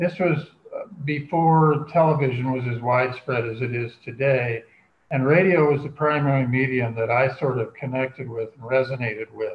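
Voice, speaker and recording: A man with a plain, everyday voice, medium in pitch, at a moderate pace with fairly even intonation. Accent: American. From US Midwest, Kansas. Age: 60s. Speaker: true crime writer. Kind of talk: interview.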